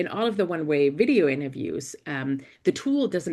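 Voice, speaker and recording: Against a quiet background, a speaker with a German accent talks with vocal fry and ordinary pitch variation. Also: woman. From Germany. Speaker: investigative reporter and journalism professor. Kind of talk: panel talk. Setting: university panel event. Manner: hesitant, many fillers.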